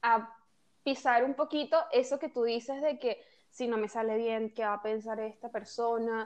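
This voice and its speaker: Delivered at a fairly slow pace, a plain, everyday voice holds fairly even intonation. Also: woman, fairly high pitch for a woman. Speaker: podcast host. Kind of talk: casual chat.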